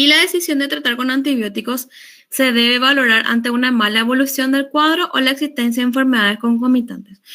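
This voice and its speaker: Raised and projected, a woman's high-pitched voice has a bright, sharp tone, very even loudness, ordinary pitch variation and a fairly quick pace. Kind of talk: lecture.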